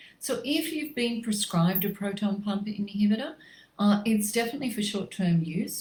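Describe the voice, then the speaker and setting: A woman with an Australian accent speaks at a fairly quick pace and medium pitch. Her voice is somewhat breathy, with ordinary pitch variation. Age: 60s. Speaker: natural medicine practitioner. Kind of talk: facebook live health talk. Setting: livestream.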